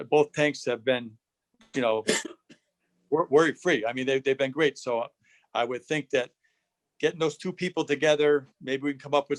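Medium-pitched male speech at a moderate pace, with a dry, close sound and no echo

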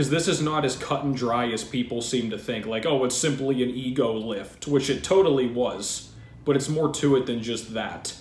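At a moderate pace, a man talks with hardly any pauses and ordinary pitch variation. Light background noise and audible room echo are present. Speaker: fitness channel host. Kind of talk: commentary. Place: home room. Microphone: webcam.

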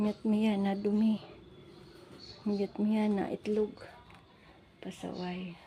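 The voice is somewhat breathy with a dark, mellow tone, speaking at a very slow pace in a flat monotone with long, frequent pauses. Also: woman, medium pitch for a woman. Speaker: vlogger and domestic worker. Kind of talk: casual vlog walkthrough.

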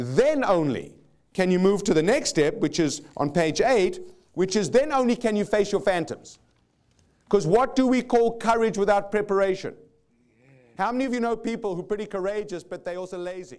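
A man with a South African accent, high-pitched with lively intonation at a moderate pace, over a quiet background. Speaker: motivational speaker. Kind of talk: live seminar talk. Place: stage. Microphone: lapel.

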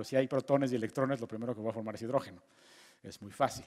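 A man at a very fast pace, with fairly even intonation and a quiet background. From Mexico. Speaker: physicist giving a lecture course. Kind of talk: lecture. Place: hall. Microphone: headset.

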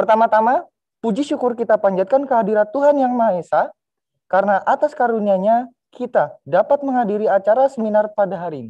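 Against a quiet background, a man with a high pitch speaks very fast. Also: ordinary pitch variation. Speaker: student master of ceremonies. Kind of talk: formal event emceeing. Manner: formal. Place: studio.

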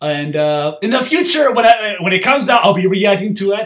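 A man's high, animated voice at a moderate pace. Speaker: youtuber reacting to videos. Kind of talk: video reaction commentary. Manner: halting, stammering.

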